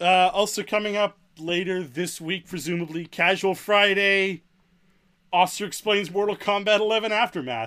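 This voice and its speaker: A man's raised, projected voice, high-pitched, bright and sharp, at a moderate pace with ordinary pitch variation, on a very clean recording with a silent background. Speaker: podcast co-host. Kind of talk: casual banter, playful amen response.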